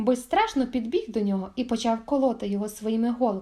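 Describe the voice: The pitch varies in an ordinary way through this plain reading aloud.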